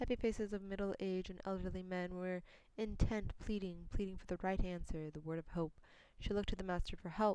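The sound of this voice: Unforced reading voice throughout.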